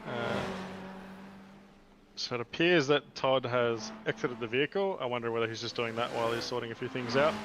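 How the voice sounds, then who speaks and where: Against noticeable background noise, a man talks with medium pitch and ordinary pitch variation. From Australia. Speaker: sim racing commentator. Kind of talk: live commentary.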